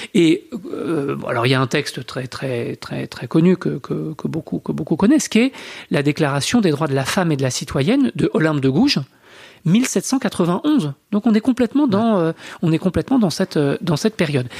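This man's fairly high voice carries vocal fry and very wide pitch swings, with a dry, close sound and no echo. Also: moderate pace. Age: 40s. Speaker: historian and author. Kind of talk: interview. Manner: hesitant, many fillers.

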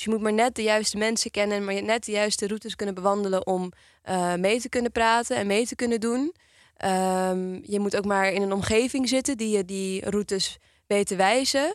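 In a normal speaking voice, a woman talks at a moderate pace with a fairly high pitch and ordinary pitch variation, the sound dry and close with no echo. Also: very clean recording, silent background. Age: 20s. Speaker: youth organization chair. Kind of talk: podcast conversation. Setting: studio.

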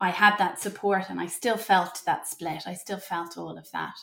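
Speaking at a fairly slow pace, a woman has an Irish accent. Her pitch variation is ordinary. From Ireland. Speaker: mother and postpartum doula. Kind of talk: interview conversation.

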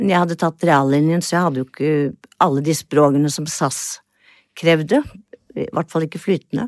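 On a very clean recording with a silent background, a woman with a very deep, low voice speaks at a moderate pace with ordinary pitch variation. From Norway, Oslo. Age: 70s. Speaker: retired lawyer and former flight attendant. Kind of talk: interview, personal storytelling.

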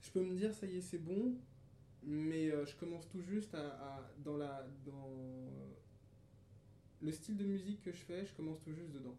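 Audible room echo follows a man who talks at a fairly slow pace with long, frequent pauses, his fairly high pitch showing ordinary variation. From France, Paris region (Pontoise), childhood years in Cameroon. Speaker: musician. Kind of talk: casual interview.

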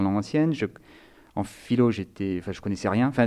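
This man talks at a fairly quick pace. His pitch sits fairly low. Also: quiet background. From Nice, southern France. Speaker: theology student. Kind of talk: interview. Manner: halting.

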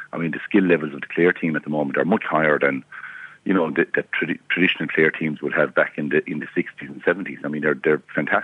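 A man with an Irish accent and a very deep, low pitch talks at a very fast pace. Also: fairly even intonation. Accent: Tipperary Irish. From Ireland, County Tipperary. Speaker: former hurler, pundit. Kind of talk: casual chat. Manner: halting.

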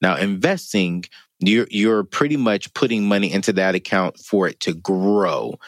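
A man speaks in a normal speaking voice at a fairly low pitch and a fairly slow pace. The sound is dry and close, with no echo. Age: 30s. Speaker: financial expert. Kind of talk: interview. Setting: studio.

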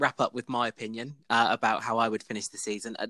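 Recorded very cleanly against a silent background, the sound is dry and close with no echo. A man with an English accent speaks at a fairly quick pace in a bright, sharp tone. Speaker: podcast host. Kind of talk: casual chat among friends, recorded live. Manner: chatty, informal.

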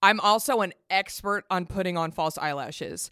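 A woman with a fairly low voice and an animated tone speaks at a moderate pace with ordinary pitch variation, recorded very cleanly against a silent background. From Texas. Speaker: comedian and podcaster. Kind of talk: casual chat.

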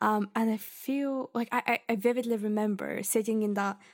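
A woman with a Bulgarian accent is captured on a very clean recording with a silent background. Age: 20s. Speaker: podcast host, literature student. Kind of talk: solo podcast monologue. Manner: chatty, frequent laughs and fillers.

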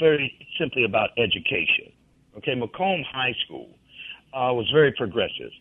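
Speaking with a Southern US accent, a man keeps to a moderate pace. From Mississippi (McComb). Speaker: blues musician. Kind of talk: interview.

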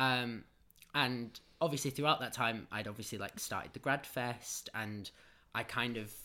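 In a Manchester accent, a man speaks at a fairly slow pace and a medium pitch, with a bright, sharp tone. The recording is very clean, with a silent background. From north Manchester, England. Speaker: drama-trained festival co-founder. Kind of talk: casual interview chat.

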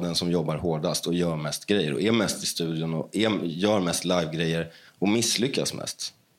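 On a very clean recording with a silent background, a man with a very deep, low pitch and ordinary pitch variation talks at a moderate pace with hardly any pauses. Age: 30s. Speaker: musician. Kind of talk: interview.

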